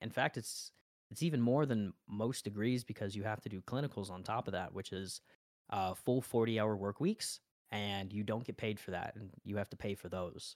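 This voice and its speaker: A man with an American accent and an ordinary speaking voice talks at a moderate pace in a fairly low pitch, his intonation fairly even, on a very clean recording with a silent background and a dry, close sound with no echo. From Las Vegas, Nevada. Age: 20s. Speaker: streamer and college student. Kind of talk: casual chat.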